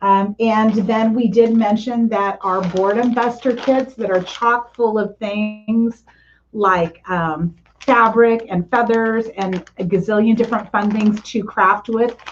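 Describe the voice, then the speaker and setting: With a normal speaking voice, a woman talks in a fairly high pitch at a fairly slow pace, her intonation fairly even. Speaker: craft workshop instructor. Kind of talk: tutorial.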